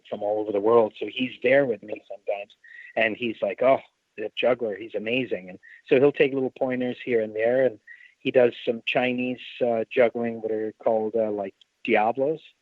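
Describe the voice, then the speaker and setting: This is a man with a plain, everyday voice at medium pitch. His intonation is fairly even and his pace is moderate. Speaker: ringmaster and circus performer. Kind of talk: interview answer.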